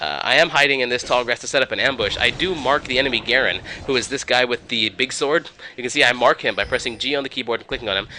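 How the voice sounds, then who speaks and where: Against noticeable background noise, a man talks at a very fast pace and a medium pitch. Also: ordinary pitch variation. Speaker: gaming video narrator. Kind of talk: gameplay commentary.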